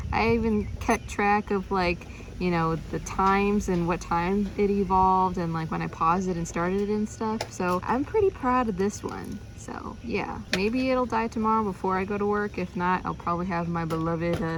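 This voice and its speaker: Audible room echo surrounds a woman talking at a moderate pace in a medium pitch with ordinary pitch variation. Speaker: video creator playing virtual pet toys. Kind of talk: casual vlog commentary. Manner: casual with many fillers.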